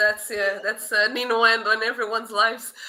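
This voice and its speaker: A fairly high-pitched female voice with a non-native accent. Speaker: podcast host and moderator. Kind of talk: panel discussion.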